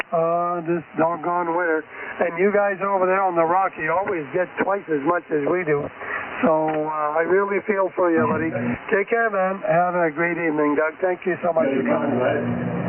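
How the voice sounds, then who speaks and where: A man speaks in a high voice at a moderate pace, with fairly even intonation and very even loudness. Noticeable background noise runs underneath. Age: 80s+. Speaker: amateur radio net controller. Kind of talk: radio net control. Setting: amateur radio transmission. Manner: folksy.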